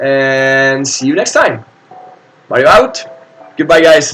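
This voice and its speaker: A man with an Italian accent at a fairly slow pace, against noticeable background noise. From Italy. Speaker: board game streamer. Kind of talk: live stream commentary. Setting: live stream. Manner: hesitant, many fillers.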